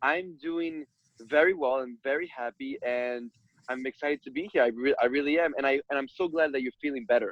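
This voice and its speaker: A man with an American accent speaks in a fairly high pitch. He moves at a fairly quick pace with ordinary pitch variation. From New York City (Brooklyn). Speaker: conversation coach. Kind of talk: interview.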